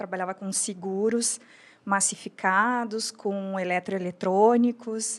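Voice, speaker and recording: Recorded very cleanly against a silent background, a woman speaks fairly slowly at medium pitch with fairly even intonation. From Brazil, Rio Grande do Sul border (São Borja). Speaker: entrepreneur, lingerie brand founder. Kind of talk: podcast interview.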